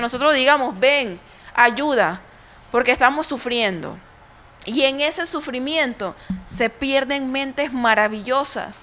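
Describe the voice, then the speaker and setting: Raising and projecting her voice, a woman with high pitch and a Panamanian accent speaks at a fairly slow pace. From Panama, Colón. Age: 30s. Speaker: speaker at a women's conference. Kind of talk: conference talk. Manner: impassioned.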